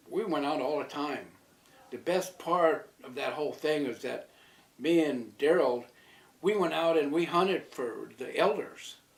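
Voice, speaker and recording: A man's fairly high-pitched voice at a fairly slow pace, over noticeable background noise. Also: ordinary pitch variation. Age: old. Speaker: community elder. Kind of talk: interview.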